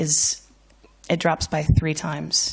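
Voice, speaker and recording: A woman's very deep, low voice with vocal fry and an American accent, at a fairly slow pace, in a very clean recording with a silent background. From United States. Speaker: financial services speaker. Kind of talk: conference talk. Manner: animated.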